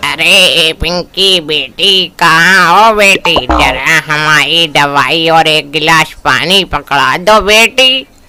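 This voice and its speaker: This cartoonish character voice moves at a very slow pace and keeps its loudness very even. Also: man, fairly high pitch for a man, ordinary pitch variation, hardly any pauses. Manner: slow, weak.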